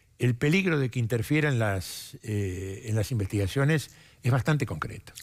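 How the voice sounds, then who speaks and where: Against a quiet background, a somewhat breathy man talks at a moderate pace with very wide pitch swings. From Argentina. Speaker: prosecutor. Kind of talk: TV interview. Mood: calm, measured, serious. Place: studio. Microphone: headset.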